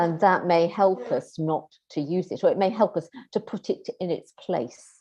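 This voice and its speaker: Dark, mellow tone from a woman in a British accent, at medium pitch and moderate pace with ordinary pitch variation. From Britain. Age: 60s. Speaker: keynote speaker, medieval scholar. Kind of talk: Q&A after a lecture. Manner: hesitant, many fillers.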